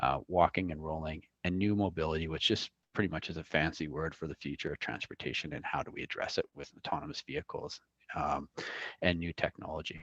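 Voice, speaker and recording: Dry and close with no echo, a man with a very deep, low pitch and vocal fry speaks at a very fast pace in a fairly even intonation. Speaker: transportation planner. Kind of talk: presentation.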